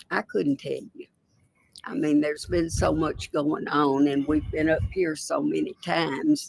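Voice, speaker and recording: A woman with a Tennessee accent talks at a fairly slow pace. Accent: Tennessee Southern. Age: 80s+. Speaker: witness. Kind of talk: court testimony. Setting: courtroom.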